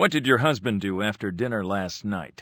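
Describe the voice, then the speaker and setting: Putting on a character voice, a man talks at a moderate pace with a fairly low pitch and ordinary pitch variation. The recording is very clean, with a silent background. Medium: audio drama. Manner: measured, probing.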